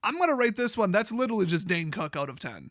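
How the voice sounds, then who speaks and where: In a very clean recording with a silent background, a man with an American accent talks very fast, his tone bright and sharp and his intonation lively. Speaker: card game YouTuber. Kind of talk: commentary review reading lore. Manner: animated.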